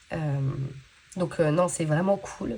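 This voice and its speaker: A woman speaks in a somewhat breathy voice. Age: 30s. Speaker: budgeting vlogger. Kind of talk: casual vlog chat. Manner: hesitant, many fillers.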